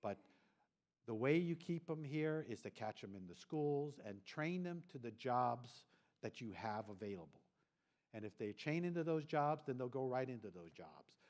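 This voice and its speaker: Medium in pitch with lively intonation, a man with an unremarkable speaking voice talks at a moderate pace, his loudness swinging widely. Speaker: government official presenting at a regional forum. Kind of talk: conference presentation.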